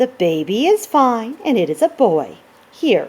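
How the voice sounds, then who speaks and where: Using a put-on character voice, a woman speaks high-pitched at a moderate pace with very wide pitch swings. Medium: read story. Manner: calm, matter-of-fact.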